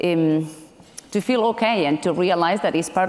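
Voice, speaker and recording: A woman with a non-native accent at a moderate pace, ordinary pitch variation, very clean recording and silent background. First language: not English. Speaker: tech company director. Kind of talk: panel discussion. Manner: hesitant, many fillers.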